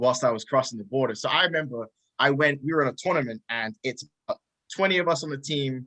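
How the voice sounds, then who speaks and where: A man's bright, sharp, fairly high voice with ordinary pitch variation and a dry, close sound with no echo. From England, small town near Milton Keynes. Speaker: pro wrestler. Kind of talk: casual chat.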